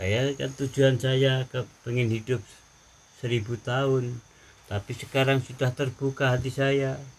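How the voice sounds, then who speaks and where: Speaking at a fairly slow pace, a man with a medium pitch sounds somewhat breathy and keeps a monotone, flat intonation. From Central Java, Java. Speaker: reformed gangster. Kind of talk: interview answers, testimony.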